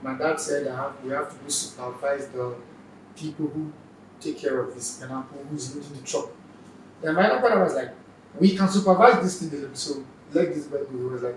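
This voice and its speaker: A man with a Nigerian accent and fairly high pitch, with big swings in loudness, long, frequent pauses, audible room echo and noticeable background noise. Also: ordinary pitch variation, fairly quick pace. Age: young. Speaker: stand-up comedian. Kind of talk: interview, personal story.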